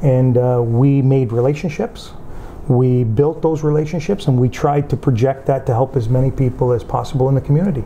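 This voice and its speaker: A man speaks at a moderate pace and medium pitch, with ordinary pitch variation. His loudness stays very even over light background noise. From Windsor, Ontario, Canada; Calabrian parents; Ontario. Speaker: union leader and community figure; interviewee. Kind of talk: interview. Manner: halting, with fillers. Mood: earnest, reflective. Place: home room.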